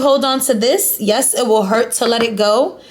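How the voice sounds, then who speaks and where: Animated in tone, a woman speaks at a high pitch with ordinary pitch variation, with noticeable background noise and audible room echo. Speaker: tarot card reader. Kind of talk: tarot reading to viewers. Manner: stuttering.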